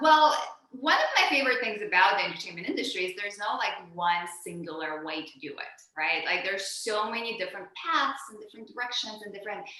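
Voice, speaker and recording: With a slight Russian accent, a woman talks at a fairly quick pace and medium pitch with hardly any pauses, very wide pitch swings and big swings in loudness, amid noticeable background noise and audible room echo. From former Soviet Union, moved to US as a child. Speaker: actor, writer and director. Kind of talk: interview.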